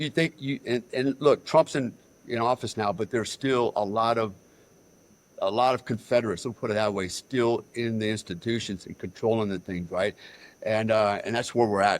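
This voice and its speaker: Speaking in an American accent, a man keeps a moderate pace at a medium pitch. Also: ordinary pitch variation. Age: 60s. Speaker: military veteran. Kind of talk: interview. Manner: animated.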